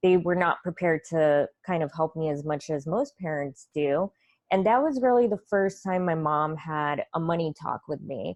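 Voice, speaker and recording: A woman with an unremarkable speaking voice talks at a moderate pace with a fairly low pitch and ordinary pitch variation. The sound is dry and close with no echo, over a quiet background. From Russia, moved to US at nine. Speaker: financial coach. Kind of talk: interview.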